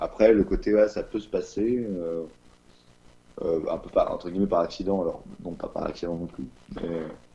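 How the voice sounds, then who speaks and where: A man's speech with long, frequent pauses and big swings in loudness. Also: moderate pace. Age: 20s. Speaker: interviewee sharing personal testimony. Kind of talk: testimony. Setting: remote recording. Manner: halting, many hesitations. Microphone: no microphone, average sound quality.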